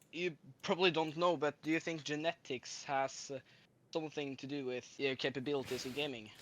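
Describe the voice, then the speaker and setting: With a Norwegian accent, a man speaks at a fairly high pitch and a moderate pace. His intonation is fairly even, and the background is quiet. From Norway. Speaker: caller. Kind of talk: casual chat. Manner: halting.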